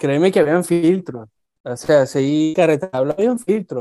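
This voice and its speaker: A man's voice, dark and mellow in tone, moves with lively intonation. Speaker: aerospace engineer. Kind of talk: casual chat.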